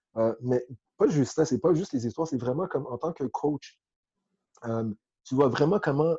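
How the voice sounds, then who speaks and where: A man's somewhat breathy voice with a dark, mellow tone, ordinary pitch variation and a moderate pace, in a dry, close sound with no echo. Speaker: football coach. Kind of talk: interview.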